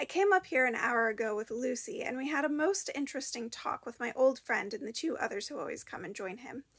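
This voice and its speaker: Her high-pitched voice moves through very wide pitch swings as this woman speaks. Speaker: audiobook reader. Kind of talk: reading aloud. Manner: halting.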